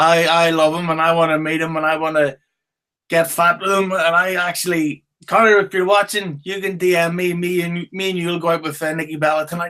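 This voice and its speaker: A man with a Northern Irish accent, high-pitched, bright and sharp in tone, with monotone, flat intonation. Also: fairly quick pace. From Northern Ireland, Belfast. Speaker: podcast host. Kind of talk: casual chat. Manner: drowsy, slurred during interview.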